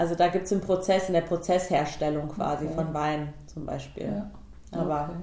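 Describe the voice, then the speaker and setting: Monotone and flat, a woman's fairly low voice carries noticeable background noise and audible room echo. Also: fairly quick pace. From Hesse, Germany (Biedenkopf area). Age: 30s. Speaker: vegan nutrition consultant. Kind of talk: casual interview.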